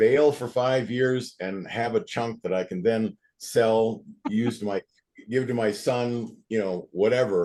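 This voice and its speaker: At a very slow pace, a man talks in a dark, mellow tone with fairly even intonation. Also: medium pitch for a man. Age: 70s. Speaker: call participant. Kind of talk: group call discussion.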